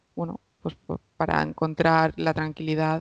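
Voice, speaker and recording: A woman talks at a fairly slow pace in a very deep, low pitch, her intonation monotone and flat. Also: quiet background, dry sound with no echo. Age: 20s. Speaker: psychologist; podcast guest. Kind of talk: interview. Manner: halting. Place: home room. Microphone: headset.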